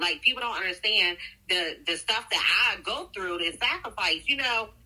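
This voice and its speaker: A woman with a medium pitch talks at a moderate pace while noticeable background noise continues. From Delaware (Seaford). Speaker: budget coach. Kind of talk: casual interview chat. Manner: animated.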